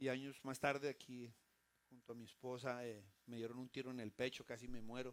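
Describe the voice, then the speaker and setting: This is a man talking. His pace is moderate. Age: 60s. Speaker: pastor. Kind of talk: sermon. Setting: church.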